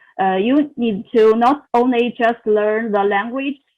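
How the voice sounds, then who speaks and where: Speaking with a non-native accent, a woman talks at a fairly slow pace in a fairly high pitch. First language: not English. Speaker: international graduate student. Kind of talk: interview answer. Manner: halting, many fillers.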